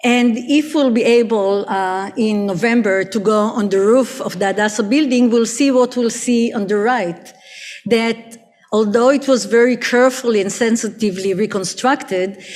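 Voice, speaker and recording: Noticeable background noise fills the recording. Over it, a woman speaks at a moderate speed, her pitch varying in an ordinary way. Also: fairly high pitch for a woman. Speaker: architectural historian. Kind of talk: academic conference talk. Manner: hesitant, many fillers.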